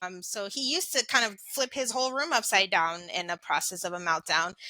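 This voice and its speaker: A woman with a medium pitch talks at a fairly quick clip. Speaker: education podcast host. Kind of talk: casual interview conversation. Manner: level, even, not loud.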